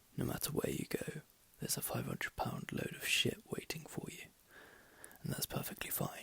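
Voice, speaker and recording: Whispering over noticeable background noise. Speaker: ASMR reader / channel host. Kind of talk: audiobook-style reading aloud. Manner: whispered, soft.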